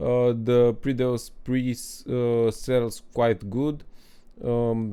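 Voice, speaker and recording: A dark, mellow tone carries a non-native accent. The delivery is very slow, with monotone, flat intonation. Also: man. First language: not English. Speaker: gaming guide creator. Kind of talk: gameplay tutorial. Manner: halting, many fillers.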